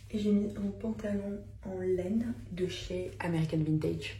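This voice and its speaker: A woman whispers in a room with audible echo. Noticeable background noise runs behind her. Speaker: vlogger and small brand owner. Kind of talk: casual vlog talk. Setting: in a shop; at home. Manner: animated; whispering.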